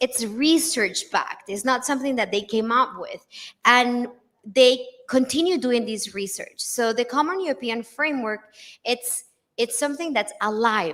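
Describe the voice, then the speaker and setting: In a Spanish accent, the speaker goes at a fairly slow pace with ordinary pitch variation. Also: woman. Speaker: English teaching lecturer. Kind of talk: lecture. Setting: conference with live audience.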